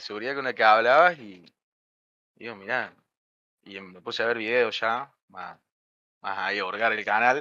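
At a moderate pace and a medium pitch, a man with a Córdoba Argentine accent speaks in a bright, sharp tone, with ordinary pitch variation, big swings in loudness, and long, frequent pauses. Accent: Cordoba Argentine accent, noticeable. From Argentina, Río Cuarto, Córdoba. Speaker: software development student. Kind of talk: casual chat. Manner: halting.

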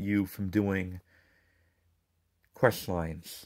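A man mumbles in a fairly low pitch, the sound dry and close with no echo. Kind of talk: casual game review talk. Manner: mumbling.

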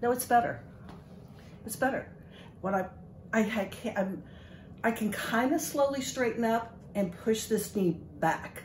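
Amid light background noise and audible room echo, a woman speaks at a fairly slow pace with long, frequent pauses. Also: ordinary pitch variation. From Kentucky. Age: 70s. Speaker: patient. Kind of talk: testimony. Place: office. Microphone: phone near.

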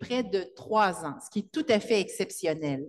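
Light background noise can be heard. Over it, a woman talks at a fairly slow pace. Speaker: event host. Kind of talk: introduction at a literary event. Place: hall. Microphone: handheld.

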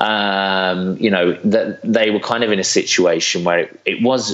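Over noticeable background noise, a man with a British accent speaks at a moderate pace. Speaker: social entrepreneur. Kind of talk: interview.

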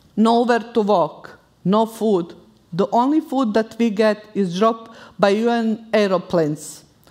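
A woman with a Bosnian accent speaks fairly slowly at a fairly high pitch, with very even loudness and ordinary pitch variation in a quiet background. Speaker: war refugee. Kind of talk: live personal storytelling. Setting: stage. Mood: solemn, grave. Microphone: headset.

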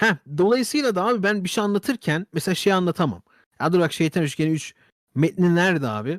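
On a very clean recording with a silent background, a man talks fairly quickly at a high pitch with lively intonation. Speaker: YouTuber / streamer. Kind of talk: casual monologue to camera. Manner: very fast; animated.

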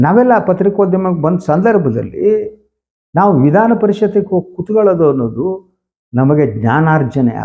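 A man's high voice with lively intonation. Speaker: political journalist. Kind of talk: news commentary monologue.

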